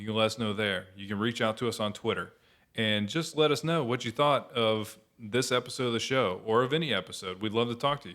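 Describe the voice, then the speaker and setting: A normal speaking voice with an American accent moves at a fairly quick pace, showing ordinary pitch variation and big swings in loudness. The recording is very clean with a silent background. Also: man, medium pitch for a man. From Florida. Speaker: podcast co-host. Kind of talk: casual chat.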